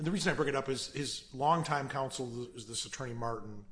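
At a fairly quick pace, a man has a normal speaking voice with medium pitch and ordinary pitch variation. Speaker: appellate judge. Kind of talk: courtroom questioning. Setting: courtroom. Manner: formal.

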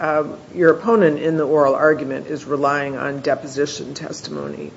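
The speech runs on with hardly any pauses amid noticeable background noise. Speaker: appellate judge. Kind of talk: courtroom questioning. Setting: courtroom.

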